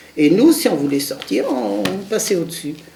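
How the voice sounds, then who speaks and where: At a moderate pace, a woman with a very deep, low voice talks over noticeable background noise. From Lorraine, France (Moselle). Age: 70s. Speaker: war witness. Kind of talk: testimony. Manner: halting.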